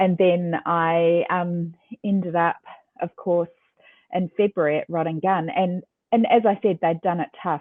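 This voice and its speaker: A woman speaks with a New Zealand accent at a fairly slow pace. Her pitch sits fairly low, and her intonation stays fairly even. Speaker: ecommerce executive. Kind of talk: interview. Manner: hesitant fillers.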